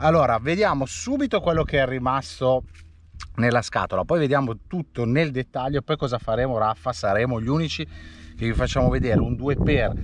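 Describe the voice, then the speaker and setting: With vocal fry and lively intonation, a man talks at a fairly quick pace. The sound is dry with no echo, and there is light background noise. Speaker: toy collector reviewer. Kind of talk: casual vlog chat. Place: open country. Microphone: phone near.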